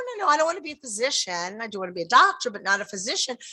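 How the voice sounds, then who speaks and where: In an American accent, a raised, projected voice with a bright, sharp, animated tone races at a very fast pace with very wide pitch swings. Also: woman. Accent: New York, fading but still heavy. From New York. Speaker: public health dean. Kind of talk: welcome speech. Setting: in-person event with audience, live-streamed.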